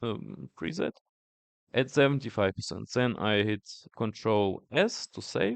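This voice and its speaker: Medium-pitched male speech with lively intonation, a fairly slow pace and long, frequent pauses, in a dry, close sound with no echo. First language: not English. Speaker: tech youtuber. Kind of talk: tutorial. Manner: halting, many fillers.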